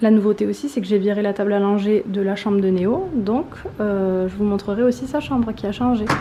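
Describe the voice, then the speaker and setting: Over noticeable background noise and audible room echo, a woman talks at a moderate pace. Her pitch is medium, with ordinary variation. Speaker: vlogger. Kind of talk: casual vlog. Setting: garage at home.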